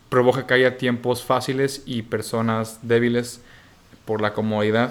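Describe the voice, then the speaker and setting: Very slowly, a man speaks in a flat, monotone intonation. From Mexico, Bajío (Guanajuato). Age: 20s. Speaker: student entrepreneur. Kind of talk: casual chat.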